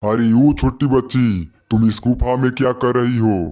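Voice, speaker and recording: A man's cartoonish character voice at a medium pitch, moderate pace, very even loudness and fairly even intonation. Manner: gentle, solemn.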